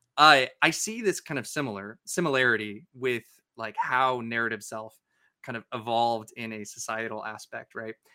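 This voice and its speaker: A man's bright, sharp voice at a moderate pace, with big swings in loudness, in a dry, close sound with no echo and a very clean recording with a silent background. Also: medium pitch for a man, ordinary pitch variation. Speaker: neuroscience podcast co-host. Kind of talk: educational casual discussion. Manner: clear enunciation.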